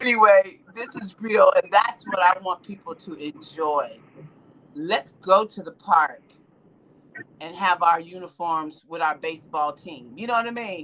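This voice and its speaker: At a fairly slow pace, a woman speaks at medium pitch in an animated tone, with ordinary pitch variation and big swings in loudness. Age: 60s. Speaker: livestream host. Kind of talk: casual chat.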